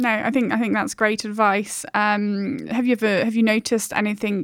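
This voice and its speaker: A woman's plain, everyday voice at a medium pitch and a moderate pace. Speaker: podcast host. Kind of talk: podcast interview.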